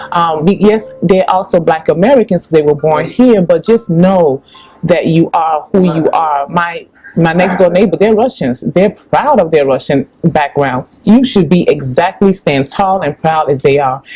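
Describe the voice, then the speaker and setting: A woman speaks at a fairly slow pace in a Chicago accent, her pitch fairly low and her intonation lively. Her loudness stays very even, with music playing in the background. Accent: south side Chicago. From Chicago, US (Ghanaian parents). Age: 40s. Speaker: public relations company founder. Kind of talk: interview.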